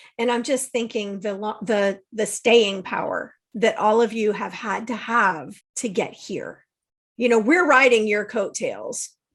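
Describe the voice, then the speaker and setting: A woman with a fairly high pitch speaks at a fairly slow pace, in an ordinary speaking voice. Her pitch varies in an ordinary way. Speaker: podcast host, holistic life coach and registered aromatherapist. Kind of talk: interview question.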